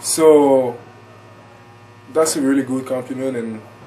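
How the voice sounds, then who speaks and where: A man's fairly high, fairly even voice with a French accent at a fairly slow pace. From France, Paris. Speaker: college basketball player. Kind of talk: interview. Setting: broadcast.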